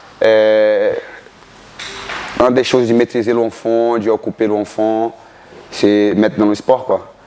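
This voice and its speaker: Over noticeable background noise, the speech moves at a very slow pace with long, frequent pauses, very even loudness and monotone, flat intonation. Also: man, medium pitch for a man. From Brazil, Bahia (northeast). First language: Portuguese (speaking French). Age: 30s. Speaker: martial arts coach. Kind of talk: interview.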